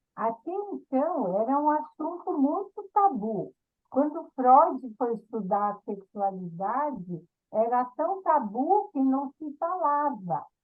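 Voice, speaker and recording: Over music in the background, a woman speaks at high pitch with very wide pitch swings. Her pace is very slow. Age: 70s. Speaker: gerontology professional. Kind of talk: talk in group discussion.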